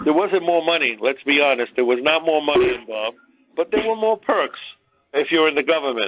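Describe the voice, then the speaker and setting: Over music in the background, a man with a Brooklyn accent talks at a fairly quick pace with a fairly high pitch and lively intonation. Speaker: discussion leader giving a history lecture. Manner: conversational, lecturing.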